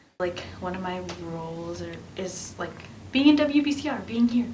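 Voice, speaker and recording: A woman with lively intonation and a medium pitch talks at a moderate pace, with audible room echo and noticeable background noise. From New Hampshire. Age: 20s. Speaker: college student. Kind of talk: interview.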